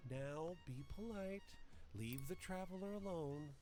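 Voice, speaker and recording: A man's put-on character voice, high-pitched for a man and fairly slow, with clear music in the background. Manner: gentle but firm.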